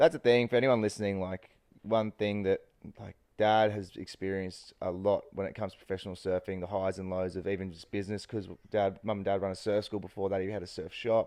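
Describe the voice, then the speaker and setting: A man with an Australian accent at a fairly low pitch, dark and mellow in tone, with fairly even intonation, big swings in loudness and a very fast pace. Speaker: surfer, podcast co-host. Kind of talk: casual chat.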